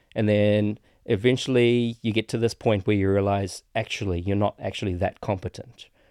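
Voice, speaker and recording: Dry and close with no echo, this very clean recording over a silent background carries a man's fairly low, dark, mellow voice at a moderate pace with fairly even intonation. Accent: New Zealand. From New Zealand. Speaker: filmmaker. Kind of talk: casual chat.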